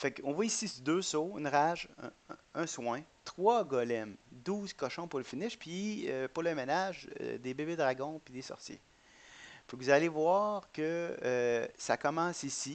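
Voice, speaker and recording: The intonation is lively. The pace is fairly slow. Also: man. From Quebec. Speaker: gaming YouTuber. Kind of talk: gameplay commentary. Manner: hesitant, many fillers and repetitions.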